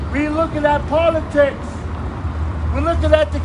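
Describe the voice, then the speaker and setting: An American accent from a male speaker, set against noticeable background noise. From East Coast, USA. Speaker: visiting street preacher. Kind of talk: open-air street preaching. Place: street. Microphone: camera far.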